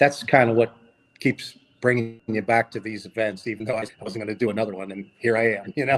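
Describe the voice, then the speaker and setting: A man with a Philadelphia accent, medium pitch, fairly even intonation, big swings in loudness and a fairly quick pace. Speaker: vintage motorcycle rider and collector. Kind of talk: casual podcast interview.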